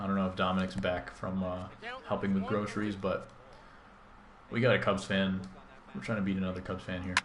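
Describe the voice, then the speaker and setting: Mumbling at a fairly quick pace with long, frequent pauses, a man speaks in a very deep, low pitch and monotone, flat intonation amid audible room echo. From US Midwest, Chicago. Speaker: gaming streamer. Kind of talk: live gameplay stream chat. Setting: live stream.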